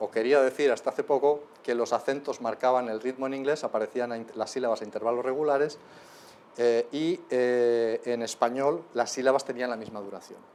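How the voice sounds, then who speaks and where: A man speaks with a Spanish accent at medium pitch. His pace is moderate. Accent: Peninsular Spanish. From Spain. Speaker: linguistics lecturer. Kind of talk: lecture. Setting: lecture hall with live audience. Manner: animated.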